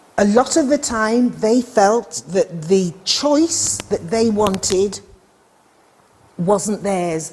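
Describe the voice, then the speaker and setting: A woman with a British accent talks very slowly at a medium pitch, her intonation lively. Noticeable background noise runs behind her. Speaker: midwifery lecturer. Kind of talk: lecture.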